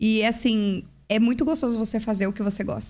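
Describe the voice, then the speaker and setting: This woman speaks with a Brazilian accent at a moderate pace. Her voice is somewhat breathy. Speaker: parenting mentor. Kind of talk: casual chat. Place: studio. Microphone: studio mic.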